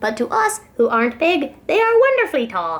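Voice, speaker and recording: A woman puts on a character voice that makes very wide pitch swings. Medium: read story.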